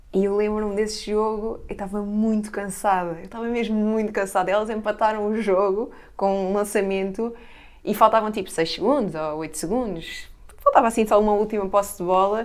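A woman speaks in a plain, everyday voice at medium pitch. Her pace is fairly quick and her intonation fairly even. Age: 30s. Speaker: basketball player. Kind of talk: casual chat.

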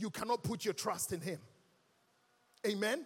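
A man talks at a moderate pace in a high-pitched, animated tone. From Ghana. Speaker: guest preacher. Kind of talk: sermon. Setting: church with congregation.

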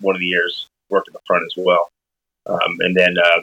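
The sound is dry and close with no echo as a man speaks with an American accent. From Arizona. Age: 30s. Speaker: chef. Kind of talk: casual chat.

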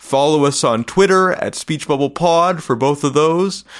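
A man with a Canadian accent talks at a fairly high pitch. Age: 30s. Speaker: podcast host. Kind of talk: interview; podcast outro.

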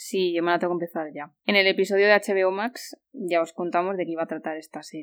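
A woman with a plain, everyday voice talks at a fairly quick pace and medium pitch, with ordinary pitch variation and big swings in loudness, in a very clean recording with a silent background and a dry, close sound with no echo. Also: hardly any pauses. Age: 30s. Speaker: podcast host. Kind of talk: casual chat.

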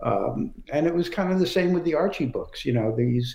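Moderate-paced speech from a man with an American accent, plus audible room echo. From US Northeast, Brooklyn, New York. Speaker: comic book writer and former editor. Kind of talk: interview.

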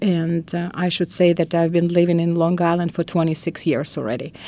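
A woman speaks with a Russian accent, her fairly low pitch carrying a dark, mellow tone. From Russia, Moscow. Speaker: educator. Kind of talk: interview. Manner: halting.

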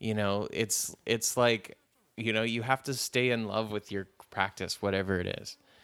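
In a very clean recording with a silent background, a man with an unremarkable speaking voice talks at a moderate pace, with fairly low pitch and fairly even intonation. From Canada, Ontario. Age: 30s. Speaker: actor and comedian. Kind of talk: interview.

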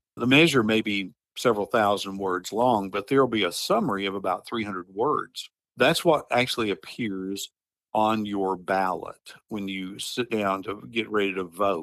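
On a very clean recording with a silent background, a man with a Southern US accent speaks at a moderate pace in a fairly low pitch with ordinary pitch variation. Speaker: advocacy group director. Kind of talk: interview.

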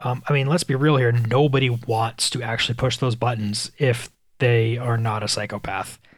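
Breathing a little into his words, a man speaks at a medium pitch and a moderate pace. His intonation is fairly even on a very clean recording with a silent background. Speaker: podcaster. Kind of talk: personal monologue. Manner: casual, hesitant.

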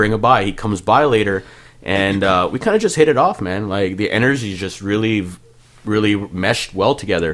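A man's fairly low voice in a Canadian accent, fairly quick, with ordinary pitch variation. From Ontario, Canada (Malton, Peel Region). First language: Punjabi. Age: 30s. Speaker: music producer. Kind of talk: casual chat. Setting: studio.

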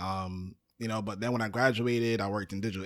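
A man with an unremarkable speaking voice talks at a moderate pace and a fairly low pitch. His intonation is fairly even, and the recording is very clean, with a silent background. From Brooklyn, New York. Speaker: podcast producer. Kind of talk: casual chat.

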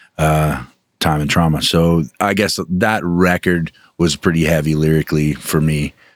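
A man's very deep, low voice at a fairly slow pace, dry and close with no echo. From Alaska, Anchorage. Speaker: metal band vocalist. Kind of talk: casual interview chat.

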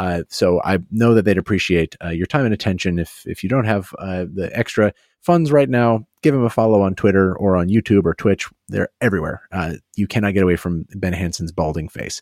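With an ordinary speaking voice, a man speaks fairly quickly at a fairly low pitch, with ordinary pitch variation, in dry, close sound with no echo. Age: 30s. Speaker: podcast co-host. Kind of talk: casual chat.

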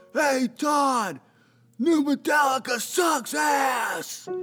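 A man's loud, shouted put-on character voice at a very slow pace, with faint music in the background. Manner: loud, yelling.

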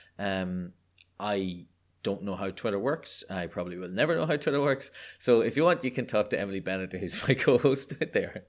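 A man with an Irish accent and fairly low pitch at a fairly quick pace, on a very clean recording with a silent background. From Ireland. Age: 30s. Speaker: guest. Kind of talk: casual interview chat. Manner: animated, humorous.

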